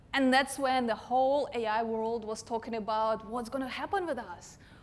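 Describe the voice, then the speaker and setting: In an Eastern European accent, a woman speaks with a fairly high pitch. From Russia. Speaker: digital marketing consultant. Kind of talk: conference talk.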